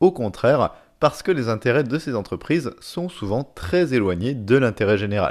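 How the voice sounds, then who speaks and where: A man with an unremarkable speaking voice talks at a medium pitch and a moderate pace. His intonation is lively, and the recording is very clean with a silent background. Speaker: educational podcast host. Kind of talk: scripted narration.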